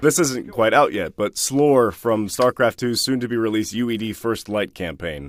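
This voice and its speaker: An unremarkable speaking voice, a man's, medium in pitch, with an American accent, moderate pace, lively intonation and hardly any pauses. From United States. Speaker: voice actor. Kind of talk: interview answer. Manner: casual.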